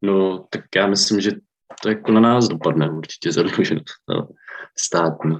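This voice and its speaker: The man's pitch is very deep and low. He talks at a moderate pace with fairly even intonation. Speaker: social worker. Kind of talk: group discussion.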